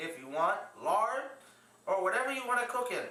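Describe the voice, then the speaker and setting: Amid noticeable background noise, a man uses a raised, projected voice at an extremely high pitch, with lively intonation and a moderate pace. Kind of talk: cooking demonstration.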